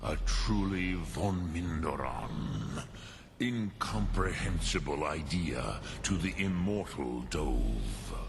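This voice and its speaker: A man's put-on character voice, very deep and low, delivered at a very slow pace over clear background noise. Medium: video game. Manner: slow, measured, deliberate.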